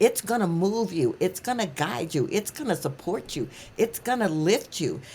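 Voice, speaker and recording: A woman at a moderate pace and medium pitch, with very wide pitch swings, in a very clean recording with a silent background. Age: 70s. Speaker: author and coach. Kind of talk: interview.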